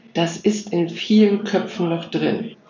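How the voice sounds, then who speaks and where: Very slow woman's speech, fairly low in pitch with ordinary pitch variation, plus noticeable background noise and audible room echo. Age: 60s. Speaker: nonprofit founder and digital educator for seniors. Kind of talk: interview.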